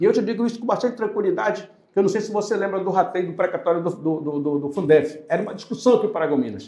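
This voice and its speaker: This man has a high pitch and talks at a very fast pace. His pitch varies in an ordinary way, and there are hardly any pauses. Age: 60s. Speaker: lawyer and political candidate. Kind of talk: podcast interview. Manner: hesitant, self-correcting.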